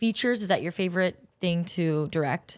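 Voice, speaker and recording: A woman with an American accent has an unremarkable speaking voice at medium pitch. She talks at a moderate pace with ordinary pitch variation. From Southern California, Orange County. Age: 20s. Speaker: podcast host and actress. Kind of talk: interview podcast, casual chat.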